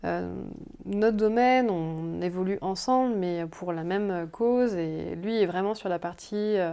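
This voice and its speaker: At a very slow pace, a woman speaks in a dark, mellow tone at a medium pitch, with ordinary pitch variation. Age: 30s. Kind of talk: casual interview. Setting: at her home. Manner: hesitant.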